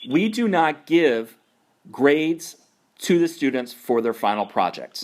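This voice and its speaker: Fairly slow, lively intonation, with an American accent. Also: man. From New York. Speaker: naturalist course instructor. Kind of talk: conference call mentoring talk. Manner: slower and louder.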